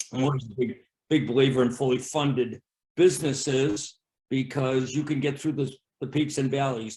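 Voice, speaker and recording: A man speaks in an American accent with a dark, mellow tone. His delivery is somewhat breathy with fairly even intonation. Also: medium pitch for a man, moderate pace. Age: 60s. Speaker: bowling alley owner. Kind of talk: interview. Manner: halting.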